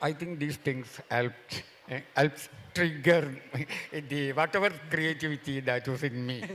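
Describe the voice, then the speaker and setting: A man with a Keralan accent speaks at a fairly high pitch with ordinary pitch variation. His fairly slow delivery has long, frequent pauses, with noticeable background noise. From India, Kerala (Mahe). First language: Malayalam. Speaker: novelist. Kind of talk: festival panel discussion.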